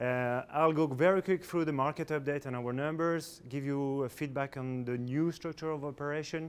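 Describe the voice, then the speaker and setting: At a moderate pace, a man with a French accent speaks at medium pitch with fairly even intonation. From France. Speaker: corporate executive. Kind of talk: business presentation. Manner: halting, many fillers.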